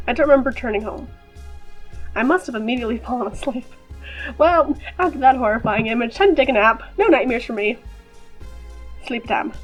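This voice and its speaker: Very fast speech broken by long, frequent pauses plays over music in the background. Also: woman, high pitch for a woman, lively intonation. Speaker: gaming YouTuber. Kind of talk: casual gameplay commentary with text read aloud.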